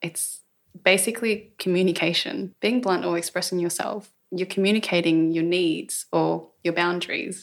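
A woman with a normal speaking voice, fairly low in pitch, with fairly even intonation. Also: moderate pace. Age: 20s. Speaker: podcast host. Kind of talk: casual chat. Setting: at home.

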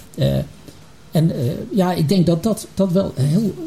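A man talks with lively intonation over noticeable background noise. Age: 60s. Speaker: retired healthcare executive. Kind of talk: panel discussion. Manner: halting.

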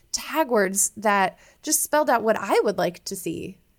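In a very clean recording with a silent background, a woman with an American accent and an ordinary speaking voice talks at a fairly slow pace and medium pitch. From US Midwest (Iowa). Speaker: naturopathic physician and mental health expert. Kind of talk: interview.

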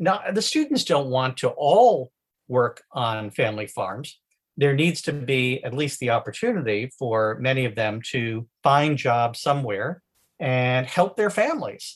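Here a man speaks at a fairly slow pace and medium pitch. His voice is somewhat breathy, with lively intonation. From New England. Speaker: lawyer and charity founder. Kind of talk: casual interview.

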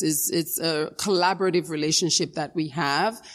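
This woman has an unremarkable speaking voice with a fairly low pitch. She talks at a moderate pace with an American accent. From Dominica, then South Bronx, New York. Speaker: education foundation executive. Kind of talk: interview.

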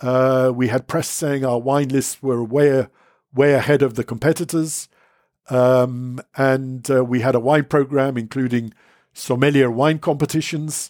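With a London accent, a man talks fairly slowly in a monotone, flat intonation at a medium pitch, recorded very cleanly against a silent background. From England. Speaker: wine writer. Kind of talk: interview. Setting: in person. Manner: halting.

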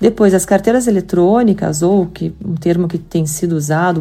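Her pitch medium with ordinary variation, a woman with a Curitiba accent speaks at a moderate pace. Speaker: payments company executive. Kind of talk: podcast interview.

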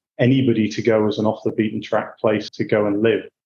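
Speaking at a fairly quick pace, a man uses a medium pitch. His tone is dark and mellow. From Yorkshire, northern England (Hull). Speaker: banking executive. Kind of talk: interview.

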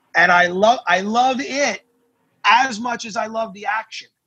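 A man with an American accent raises and projects his high, bright, sharp voice at a fairly slow pace, with ordinary pitch variation and a dry, close sound with no echo. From New Jersey. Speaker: attorney. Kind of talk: interview.

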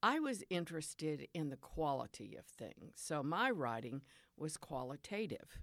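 Recorded very cleanly against a silent background, a speaker with a Southern US accent moves at a moderate pace, pitch swinging very widely. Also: woman, very deep, low pitch for a woman. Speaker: retired professor and poet. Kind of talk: interview with poetry readings.

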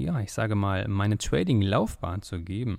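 Moderate-paced talk in a normal speaking voice, its pitch varying in an ordinary way. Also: man. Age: 20s. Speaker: podcast host, trader. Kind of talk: podcast monologue.

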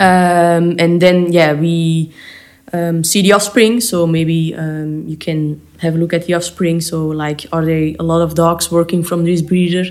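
A woman with a Flemish accent speaks at a fairly slow pace and fairly low pitch in monotone, flat intonation. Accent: Flemish Belgian English. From Belgium. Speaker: dog trainer. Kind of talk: interview. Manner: hesitant.

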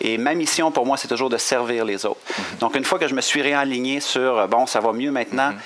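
A man talks at a fairly quick pace in a Quebec accent, with noticeable background noise. His loudness stays very even, and his pitch varies in an ordinary way. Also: medium pitch for a man. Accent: Québécois French. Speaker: coach and motivational speaker. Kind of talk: interview. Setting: hotel. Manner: energetic.

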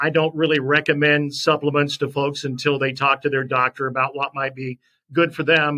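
Someone talks at a moderate pace in a normal speaking voice. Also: man. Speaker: sportscaster. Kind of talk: interview, personal testimony.

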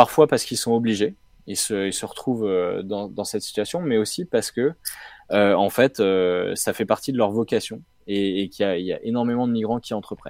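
A man with an unremarkable speaking voice talks at a moderate pace and medium pitch. The recording is very clean with a silent background, and the sound is dry and close with no echo. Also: ordinary pitch variation. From Brittany, France (Rennes). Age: 30s. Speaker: social entrepreneur, co-founder of a refugee incubator. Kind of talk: interview.

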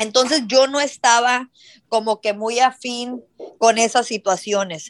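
Over a quiet background, a woman with a fairly high pitch talks at a very slow pace with ordinary pitch variation, in a dry, close sound with no echo. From South Texas border (Hidalgo). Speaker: entrepreneur. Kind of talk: interview.

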